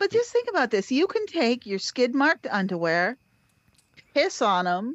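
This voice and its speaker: A woman talks at a moderate pace, her high pitch swinging very widely up and down. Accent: American. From Cape Cod, Massachusetts. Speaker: podcast host. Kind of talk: casual chat.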